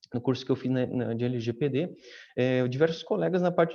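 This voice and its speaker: A man's dark, mellow tone carries ordinary pitch variation against a quiet background. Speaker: data protection officer. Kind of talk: panel discussion. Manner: fast; halting, many fillers.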